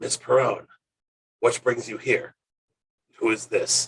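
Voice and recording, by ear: Putting on a character voice, a man speaks at an extremely high pitch and a fairly slow pace, sounding gravelly, hissing and raspy.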